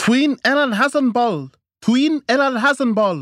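A man does a put-on character voice at an extremely high pitch, with a fairly bright tone and lively intonation. He goes at a fairly slow pace in a very clean recording with a silent background, the sound dry and close with no echo.

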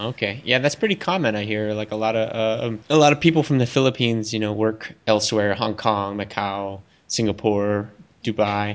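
Here a man talks in an American accent at a moderate pace, with ordinary pitch variation. His pitch is fairly low, and he has a normal speaking voice. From Texas. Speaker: podcast host. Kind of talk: casual interview.

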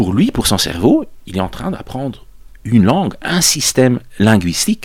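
This man's pitch rises and falls very widely. His speech moves fairly slowly. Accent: Dutch. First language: Dutch (speaking French). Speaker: psychology professor. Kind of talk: interview, explaining research. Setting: studio recording in Brussels.

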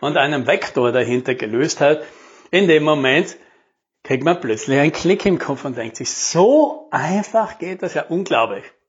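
The pace is moderate. The intonation is lively. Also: man. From South Tyrol, Italy. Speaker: podcast host, sales and marketing coach. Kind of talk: solo podcast monologue. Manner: casual, conversational.

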